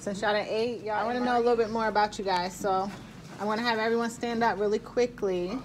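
A woman's fairly high voice in an American accent at a very fast pace, over light background noise. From Baltimore, Maryland. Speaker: army instructor and vlogger; instructor. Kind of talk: casual vlog; classroom instruction. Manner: animated.

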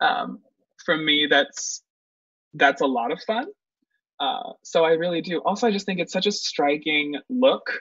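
Against a quiet background, a man speaks at a fairly slow pace with long, frequent pauses, the sound dry with no echo. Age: 20s. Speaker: guest. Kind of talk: tutorial. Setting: video call. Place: home room. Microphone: webcam.

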